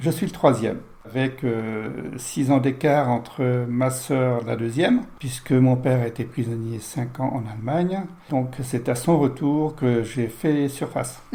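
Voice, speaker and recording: This man's medium-pitched voice moves at a very slow pace, its intonation fairly even. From France, Touraine (near Loches). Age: 70s. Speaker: interview guest, host's father. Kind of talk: life-story interview.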